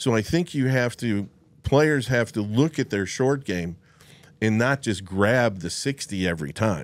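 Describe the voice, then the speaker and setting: A man speaks at a medium pitch and a fairly slow pace. His intonation is lively. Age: 60s. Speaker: golf club fitter; guest. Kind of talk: casual chat; podcast interview storytelling. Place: studio. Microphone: studio mic.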